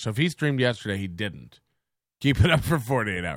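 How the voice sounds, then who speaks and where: In a very clean recording with a silent background, a man with a medium pitch and a bright, sharp tone talks at a very fast pace with vocal fry. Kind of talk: casual commentary stream. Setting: home studio. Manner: animated, laughs often.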